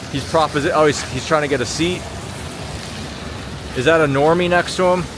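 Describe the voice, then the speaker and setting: A man with a slight Long Island accent, fairly quick and fairly even in intonation, over noticeable background noise. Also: fairly high pitch for a man. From Long Island, New York. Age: 30s. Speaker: livestreamer. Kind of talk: live street-walk commentary. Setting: outdoors on city streets at night. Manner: casual, chatty.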